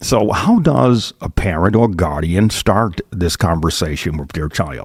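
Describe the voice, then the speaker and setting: A man talks very slowly, his intonation lively. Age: 60s. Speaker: bishop and podcast host. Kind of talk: interview.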